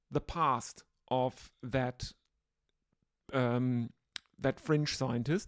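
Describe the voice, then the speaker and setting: With a German accent, a woman talks at a very slow pace in a very deep, low voice, leaving long, frequent pauses. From Germany. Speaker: podcast host. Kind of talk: solo podcast monologue. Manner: hesitant, many filler words.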